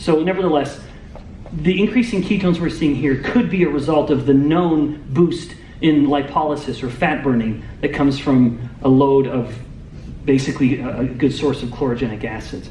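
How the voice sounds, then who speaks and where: Noticeable background noise and audible room echo around a man's fairly high-pitched voice with ordinary pitch variation. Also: moderate pace. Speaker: metabolic scientist. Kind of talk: lecture. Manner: loud.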